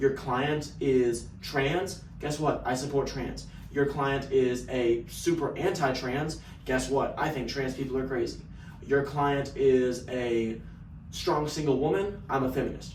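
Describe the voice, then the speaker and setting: With a slight Texan accent, a man speaks at a medium pitch and a fairly slow pace, his intonation fairly even. Audible room echo and noticeable background noise are present. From Texas. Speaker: sales business owner. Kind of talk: casual vlog monologue.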